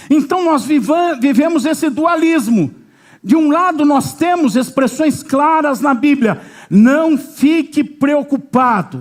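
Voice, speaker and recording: Speaking very slowly at very even loudness, this man has an extremely high pitch with ordinary pitch variation. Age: 60s. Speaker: pastor. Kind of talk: sermon.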